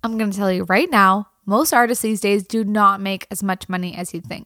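A woman speaks at a fairly quick pace in an unremarkable speaking voice, medium in pitch with ordinary pitch variation. The sound is dry and close with no echo. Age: 30s. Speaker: country singer and podcast host. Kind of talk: solo podcast monologue. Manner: casual, laughing often.

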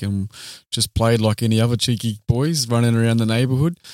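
A man with an Australian accent talks at a moderate pace, his intonation fairly even. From Australia, Queanbeyan/Canberra area. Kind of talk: casual interview chat.

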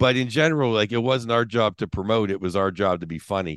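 With an American accent, a man speaks in a plain, everyday voice with ordinary pitch variation, captured in a dry, close sound with no echo and a quiet background. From Pittsburgh, US. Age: 50s. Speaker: stand-up comedian. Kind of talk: casual chat.

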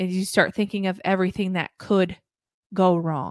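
A woman with a normal speaking voice, at a moderate pace. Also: dry, close sound with no echo, very clean recording, silent background. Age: 20s. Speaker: podcast host. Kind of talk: casual chat.

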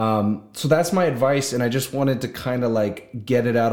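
A man speaks in an ordinary speaking voice at a medium pitch with ordinary pitch variation. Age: 20s. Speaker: solo podcaster. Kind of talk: casual monologue. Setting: video recording.

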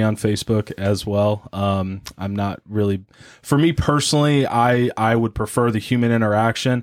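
The speaker has a plain, everyday voice, a moderate pace and ordinary pitch variation. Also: man. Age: 30s. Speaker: young adult ministry leader. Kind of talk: casual panel discussion.

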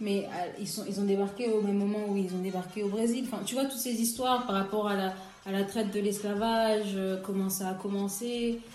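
Against audible room echo and noticeable background noise, a woman speaks fairly quickly in a monotone, flat way. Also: medium pitch for a woman. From DR Congo, Kinshasa. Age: 20s. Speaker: illustrator and graphic designer. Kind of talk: casual chat.

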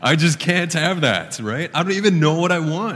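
Audible room echo on a man's fairly quick delivery. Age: 30s. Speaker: pastor. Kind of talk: sermon. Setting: church.

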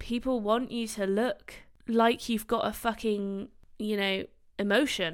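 On a very clean recording with a silent background, a woman with a British accent speaks at a moderate pace, her medium pitch held in fairly even intonation. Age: 20s. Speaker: doctor and podcast host. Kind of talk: casual solo podcast talk. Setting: recording on camera.

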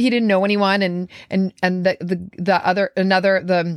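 A woman talks at a medium pitch and moderate pace. The sound is dry and close, with no echo. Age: 50s. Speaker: wellness coach podcast host. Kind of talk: casual solo reflection. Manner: off-the-cuff, unscripted; laughs often.

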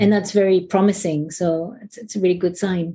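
Against a quiet background, a woman speaks at medium pitch with a dark, mellow tone that is somewhat breathy. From France. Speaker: executive coach. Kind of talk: interview.

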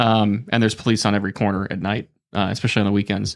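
Talking at a very fast pace, a man uses a fairly low voice. His intonation stays fairly even. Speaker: podcast guest. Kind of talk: casual banter. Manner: joking, talkative.

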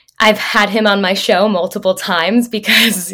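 Monotone, flat intonation from a woman with an American accent, amid noticeable background noise. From Massachusetts, south of Boston. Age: 20s. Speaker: advocate and former news reporter. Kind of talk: casual interview.

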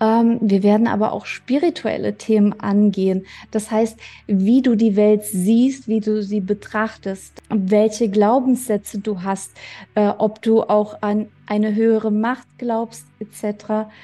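At a very slow pace, a woman speaks in a fairly high pitch with a dark, mellow tone. Her somewhat breathy voice stays monotone and flat. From Germany. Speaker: podcast host. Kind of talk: personal monologue.

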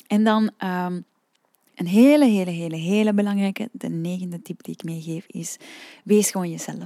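A woman speaks in a calm, relaxed tone with a dark, mellow quality. The sound is dry and close, with no echo. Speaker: singing teacher and podcast host. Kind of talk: solo podcast talk. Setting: room with open windows.

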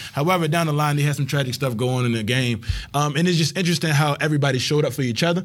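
Speaking very fast with an American accent, a man's voice is pitched fairly high. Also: ordinary pitch variation. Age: 20s. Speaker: podcast host. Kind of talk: casual chat.

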